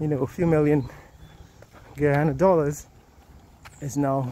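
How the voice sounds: A man's medium-pitched voice with a dark, mellow tone, fairly even intonation and a moderate pace.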